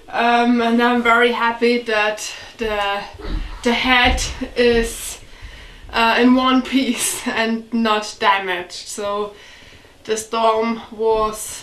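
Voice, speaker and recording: With audible room echo, a woman speaks very slowly and with fairly even intonation. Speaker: vlogger fixing up a cabin. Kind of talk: casual vlog chat. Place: home room.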